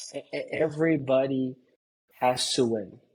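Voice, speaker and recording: This man speaks with a Brazilian Portuguese accent at a fairly high pitch. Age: 30s. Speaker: pool construction business owner. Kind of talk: casual interview chat. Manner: animated.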